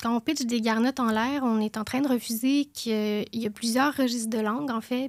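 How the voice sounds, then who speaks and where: A woman speaks in a normal speaking voice at a fairly high pitch and a moderate pace, with fairly even intonation. The recording is very clean and dry, close with no echo, over a silent background. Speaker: podcast co-host, columnist. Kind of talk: podcast chat with prepared column.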